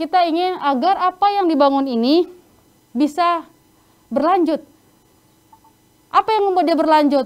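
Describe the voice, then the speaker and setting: A woman speaks at an extremely high pitch with a strong North Sumatran accent. Her pace is moderate, and her pitch varies in an ordinary way. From North Sumatra, Indonesia. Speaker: sanitation trainer. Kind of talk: online training lecture.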